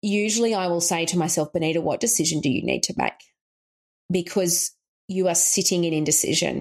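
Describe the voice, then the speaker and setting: A woman with an Australian accent speaks at a fairly low pitch. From rural Queensland, Australia. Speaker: coach and author. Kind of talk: interview conversation.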